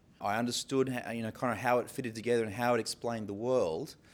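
The speaker has an Australian accent. This is a very clean recording with a silent background. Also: man. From Sydney, Australia. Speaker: pastor. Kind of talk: interview talk. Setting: stage with live audience. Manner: hesitant, filler-heavy.

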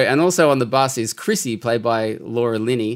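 An unremarkable speaking voice from a man at a moderate pace with fairly even intonation, on a very clean recording with a silent background. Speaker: radio presenter, guest co-host. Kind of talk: casual film review chat.

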